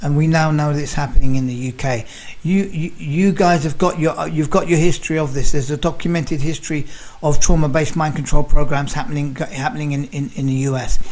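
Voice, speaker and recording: A man with a London accent talking at a very fast pace, fairly high in pitch with ordinary pitch variation. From London, England. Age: 60s. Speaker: nutritional researcher, activist. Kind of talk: interview; casual chat. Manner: halting, repeats words.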